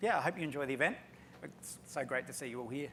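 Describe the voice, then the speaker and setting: Here a man talks in an Australian accent, his pitch fairly high with ordinary variation. The tone is bright and sharp. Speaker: chief scientist at an HR analytics company. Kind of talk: panel discussion.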